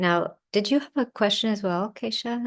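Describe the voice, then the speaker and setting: A woman speaks in a calm tone with ordinary pitch variation over a quiet background. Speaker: yoga and ayurveda teacher. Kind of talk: online lecture with Q&A.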